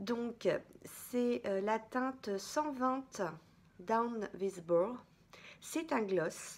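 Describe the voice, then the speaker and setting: At a very slow pace with long, frequent pauses, a woman speaks at a fairly high pitch with ordinary pitch variation and very even loudness. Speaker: beauty vlogger. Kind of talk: casual haul review to camera. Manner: hesitant, many fillers (euh).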